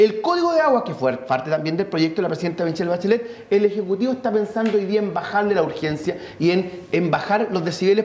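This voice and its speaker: Noticeable background noise fills the recording. Over it, the words come at a very fast pace. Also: man. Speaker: congressman. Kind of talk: heated debate.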